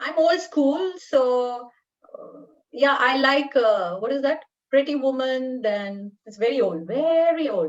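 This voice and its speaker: A woman's high voice with an Indian accent, lively intonation, big swings in loudness and a very slow pace. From northern India. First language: Telugu/Hindi (not English). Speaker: paediatric dentistry professor. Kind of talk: interview.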